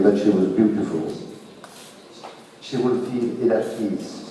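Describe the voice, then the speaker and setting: A man talking at a fairly slow pace, with noticeable background noise and audible room echo. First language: French. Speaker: audience member at a festival talk. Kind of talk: audience question and comment. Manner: halting.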